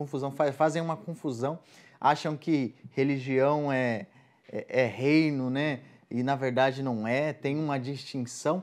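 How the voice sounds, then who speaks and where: In a very clean recording with a silent background, a man with an unremarkable speaking voice talks at a fairly slow pace, his fairly high pitch carrying fairly even intonation. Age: 20s. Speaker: evangelical guest speaker. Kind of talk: casual faith conversation.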